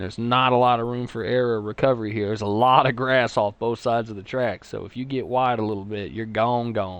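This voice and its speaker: Someone with a Texas accent speaks at a very fast pace with hardly any pauses. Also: man, medium pitch for a man. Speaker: sim racing commentator. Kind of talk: live commentary. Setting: live stream. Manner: animated.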